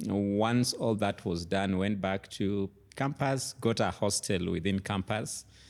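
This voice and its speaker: A man's fairly low voice at a very slow pace, with fairly even intonation and very even loudness, on a very clean recording with a silent background. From Kenya, Kitale. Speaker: tech educator and former lecturer. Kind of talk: interview.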